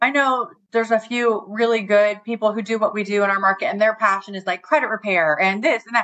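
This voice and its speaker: At a fairly quick pace, a woman speaks in a plain, everyday voice at a medium pitch with ordinary pitch variation. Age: 40s. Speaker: new home sales rep. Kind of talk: casual interview.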